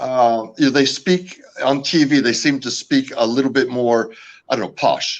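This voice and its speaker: Talking at a moderate pace, a man with an American accent has a medium pitch and ordinary pitch variation. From California, US. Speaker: founder of a camping gear company. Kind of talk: podcast interview. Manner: hesitant, many fillers.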